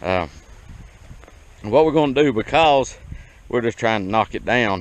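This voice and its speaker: With an American accent, a man talks at a moderate pace with lively intonation. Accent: hillbilly. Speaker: small farmer. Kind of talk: tutorial. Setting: outdoors. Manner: casual, folksy.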